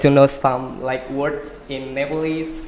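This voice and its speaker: Over noticeable background noise, a man speaks at a fairly slow pace in a fairly high, monotone, flat voice. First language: Indonesian. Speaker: podcast host. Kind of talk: interview.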